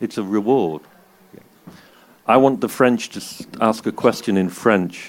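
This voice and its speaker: Speaking at a fairly slow pace with long, frequent pauses, this voice carries a Manchester accent. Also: man, medium pitch for a man, ordinary pitch variation. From England, Manchester. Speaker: DJ and journalist, interviewer. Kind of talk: live on-stage interview. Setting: stage with audience.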